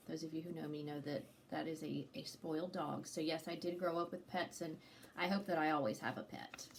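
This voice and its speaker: Fairly quick speech with ordinary pitch variation, amid noticeable background noise. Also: woman, very deep, low pitch for a woman. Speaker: activity leader. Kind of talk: casual chat.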